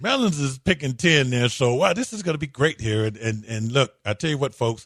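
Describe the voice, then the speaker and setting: A man with a plain, everyday voice speaks at a medium pitch and a moderate pace. His intonation is lively, and the background is quiet. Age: 60s. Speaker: sports radio host. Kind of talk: casual sports talk radio.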